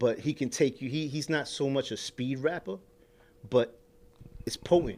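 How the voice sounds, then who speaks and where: Speaking at a moderate pace with a New York accent, a man leaves long, frequent pauses and shows ordinary pitch variation. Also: fairly high pitch for a man. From New York, Queens (Corona). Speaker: rapper. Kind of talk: casual chat. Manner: animated.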